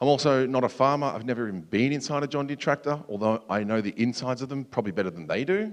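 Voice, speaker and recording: Against a quiet background, a man with an Australian accent talks at a very fast pace and medium pitch. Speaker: security researcher, conference speaker. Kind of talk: conference talk. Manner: casual, filler-heavy.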